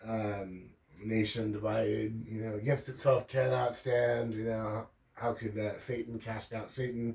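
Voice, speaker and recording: Somewhat breathy male voice of medium pitch, fairly slow and monotone with flat intonation. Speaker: religion commentary youtuber. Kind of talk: casual lecture. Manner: slow, deliberate enunciation; frequent fillers (um, uh).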